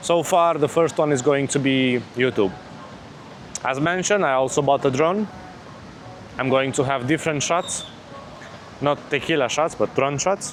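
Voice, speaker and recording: A man with a non-native accent and a fairly high voice speaks at a very even loudness. He pauses long and often, with noticeable background noise behind him. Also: ordinary pitch variation, moderate pace. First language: not English. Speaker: vlogger. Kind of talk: casual vlog. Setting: outdoors on a beach.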